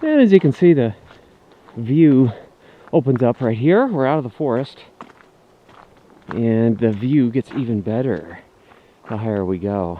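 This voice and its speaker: Over noticeable background noise, a man of medium pitch speaks at a fairly slow pace with lively intonation and long, frequent pauses. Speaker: vlogger. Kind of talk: casual vlog narration while hiking. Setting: outdoors on a mountain hike. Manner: casual, with fillers.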